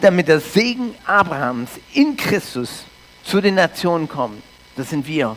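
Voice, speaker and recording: The man talks at a fairly slow pace, his high pitch swinging very widely. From Canada. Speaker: pastor. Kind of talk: sermon.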